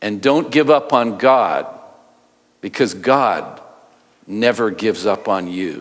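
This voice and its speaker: Against a quiet background, a man speaks very slowly with lively intonation. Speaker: pastor. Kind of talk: sermon. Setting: church. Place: church.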